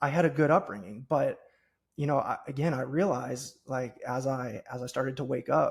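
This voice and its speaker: A man speaks with an American accent and a fairly high pitch. His voice is somewhat breathy, with ordinary pitch variation. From US Midwest, Cincinnati, Ohio. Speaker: podcast host and business coach. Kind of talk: podcast interview.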